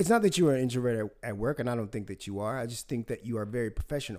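In an American accent, a man talks very fast at medium pitch with lively intonation. The recording is very clean, with a silent background. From US South. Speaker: podcast host. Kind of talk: casual chat.

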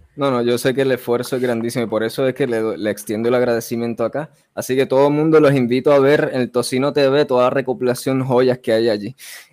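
Speaking very fast, a man barely pauses at all. His medium-pitched voice keeps a fairly even intonation. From Puerto Rico (Vega Baja). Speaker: podcast host. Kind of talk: interview.

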